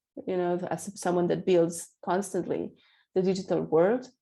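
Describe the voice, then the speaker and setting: A woman speaks with a Spanish accent, her pitch fairly low and her tone dark and mellow. Her intonation stays fairly even over a quiet background. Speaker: accessibility specialist. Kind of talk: interview. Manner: halting.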